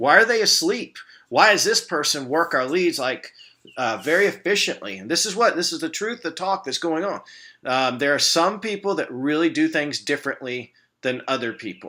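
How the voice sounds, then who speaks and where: A man with a bright, sharp tone and a fairly high pitch speaks at a moderate pace with very wide pitch swings, in a very clean recording with a silent background. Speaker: business manager training staff. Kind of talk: recorded training video with screen walkthrough. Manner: casual, halting with fillers.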